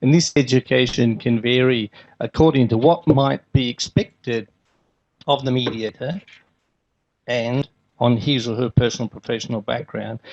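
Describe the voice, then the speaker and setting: A man speaks at a moderate pace with an Australian accent. His pitch is medium, and his pauses are long and frequent. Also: fairly even intonation. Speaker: conference speaker, healthcare manager. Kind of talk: conference keynote talk. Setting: conference stage with audience.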